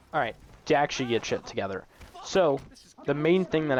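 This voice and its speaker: The voice has ordinary pitch variation against noticeable background noise. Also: man. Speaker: gaming commentator. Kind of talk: gameplay commentary. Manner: halting, many fillers.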